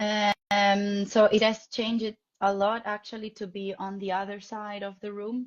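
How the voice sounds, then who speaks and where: Speaking fairly slowly in an Italian accent, a woman keeps a monotone, flat intonation while her loudness swings widely. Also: medium pitch for a woman. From Italy, Rome. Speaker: ballet dancer and dance teacher. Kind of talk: interview. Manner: halting.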